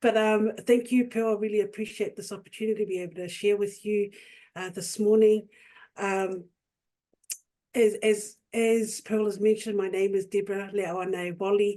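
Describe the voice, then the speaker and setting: This voice, with a New Zealand accent, has a dark, mellow tone and monotone, flat intonation. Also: woman, medium pitch for a woman, moderate pace. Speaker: youth worker and nonprofit director. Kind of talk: webinar presentation.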